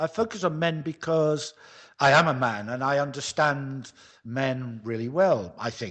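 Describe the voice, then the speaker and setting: With a British accent, a man talks at a moderate pace in a fairly high voice that swings very widely in pitch. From UK. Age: 60s. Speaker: men's coach, retired lighting designer. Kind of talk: interview.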